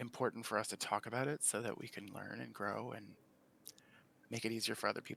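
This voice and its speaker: A man's voice with vocal fry, recorded dry and close with no echo. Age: 40s. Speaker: panel guest in LGBTQ discussion. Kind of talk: casual discussion. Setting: live stream video call. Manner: animated.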